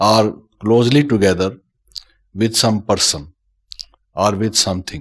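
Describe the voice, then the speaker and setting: A man at a fairly slow pace, with long, frequent pauses and ordinary pitch variation. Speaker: spiritual teacher. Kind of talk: spiritual lecture. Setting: talk with live translation to audience.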